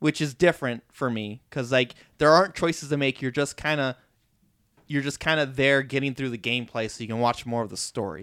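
A man with a plain, everyday voice talks at a fairly quick pace, medium in pitch with ordinary pitch variation, on a very clean recording with a silent background. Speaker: podcast host. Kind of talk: casual chat.

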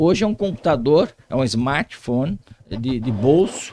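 Speech unfolds at a fairly slow pace. The voice swings very widely in pitch. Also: man. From Brazil, Vale do Paraíba (São Paulo state). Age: 60s. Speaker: police chief. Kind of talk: interview.

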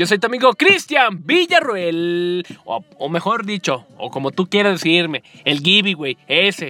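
A man with a high pitch speaks in an animated tone with lively intonation. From Mexico, Guadalajara. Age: 20s. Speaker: podcast host and communications student. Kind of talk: casual podcast monologue.

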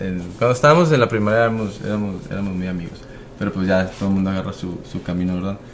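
A man's fairly low voice at a very fast pace, with audible room echo and noticeable background noise. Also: ordinary pitch variation. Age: 30s. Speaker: baseball player. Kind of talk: casual chat. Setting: studio.

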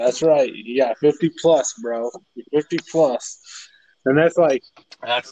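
With a northern Illinois accent, a man talks at a moderate pace with fairly even intonation. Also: dry, close sound with no echo. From northern Illinois, south of Chicago. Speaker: guest sharing his mental health story. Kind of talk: casual chat.

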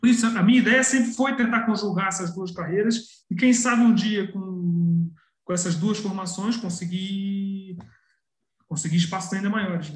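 At a moderate pace, a man with a high-pitched voice speaks with ordinary pitch variation. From Brazil, Petrópolis (Rio de Janeiro state). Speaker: journalist and historian. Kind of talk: interview. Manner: halting, with frequent repetitions.

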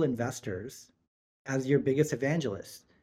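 Speaking at a fairly slow pace, a man with an American accent has an ordinary speaking voice and ordinary pitch variation. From New York City, Queens. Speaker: investment firm partner. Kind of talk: casual interview.

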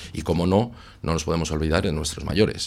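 A man's very deep, low-pitched voice. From Basque Country, Santurtzi. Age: 40s. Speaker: municipal election candidate. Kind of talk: radio election debate.

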